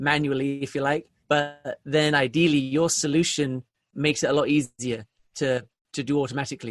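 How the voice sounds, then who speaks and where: Against a quiet background, a man speaks with a British accent. His pitch is fairly high and his pace is moderate. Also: dry, close sound with no echo. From England. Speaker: sales software founder. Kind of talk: podcast interview. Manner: repetitive false starts.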